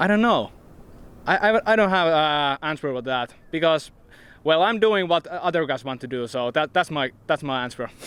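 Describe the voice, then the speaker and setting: In a Finnish accent, a man speaks at a moderate pace with lively intonation. His pitch is fairly high. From Finland. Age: 20s. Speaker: professional disc golfer. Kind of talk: press interview. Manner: halting.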